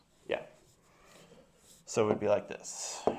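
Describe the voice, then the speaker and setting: Male speech marked by noticeable background noise and audible room echo. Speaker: math teacher. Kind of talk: classroom lecture.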